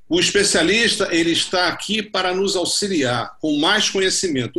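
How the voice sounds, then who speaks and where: This man's voice is raised and projected, high-pitched, with a bright, sharp tone. He speaks at a fairly slow pace with very wide pitch swings. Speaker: orthopedic surgeon. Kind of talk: panel discussion.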